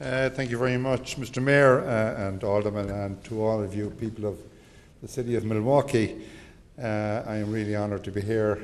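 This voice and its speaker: The intonation is fairly even and the pace moderate. Audible room echo surrounds the voice. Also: man. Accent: Irish. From Ireland. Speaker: government representative for the Irish abroad. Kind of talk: formal welcome speech.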